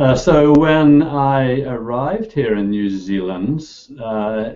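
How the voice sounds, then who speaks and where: There is audible room echo around a man speaking at a very slow pace. His tone is dark and mellow, with lively intonation. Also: medium pitch for a man. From Northern Ireland. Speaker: computer science professor. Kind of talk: interview.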